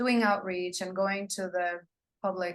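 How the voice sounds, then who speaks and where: A woman speaks with a non-native accent. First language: not English. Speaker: psychologist and death doula. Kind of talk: interview conversation. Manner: halting, with fillers.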